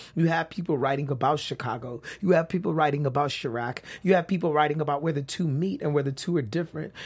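Talking at a very fast pace with hardly any pauses, a man with an American accent uses a fairly high, somewhat breathy voice with ordinary pitch variation. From South Central Los Angeles. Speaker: professor and author. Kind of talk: interview.

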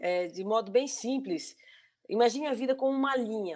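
A woman speaks in a normal speaking voice. Her intonation is lively. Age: 40s. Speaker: civil servant sharing lived experience of bipolar disorder. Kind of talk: live-stream interview, casual. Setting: online live stream.

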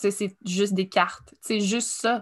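A woman's medium-pitched, fairly evenly intoned voice on a very clean recording with a silent background. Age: 30s. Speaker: writer and artist. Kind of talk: casual chat.

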